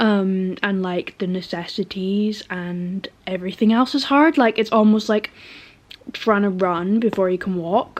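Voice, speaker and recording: In a British accent, a woman with a medium-pitched voice talks at a fairly slow pace with ordinary pitch variation. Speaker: vlogger. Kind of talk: casual vlog talk. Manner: hesitant, many fillers.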